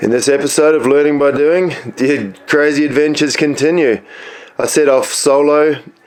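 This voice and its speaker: There is noticeable background noise behind a man whose pitch is fairly high. He speaks at a moderate pace with very even loudness and fairly even intonation. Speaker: solo sailor. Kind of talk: video intro voice-over.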